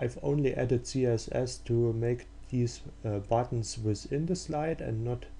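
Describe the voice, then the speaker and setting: Speaking at a fairly slow pace, a man talks. He has a German accent. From Germany. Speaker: software developer. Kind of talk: tutorial. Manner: halting, many fillers.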